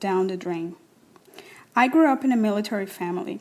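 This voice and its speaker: A woman with a Spanish accent, medium pitch, and ordinary pitch variation. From Cuba (Havana). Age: 40s. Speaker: writer and actress reading personal essay. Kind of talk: reading aloud personal essay.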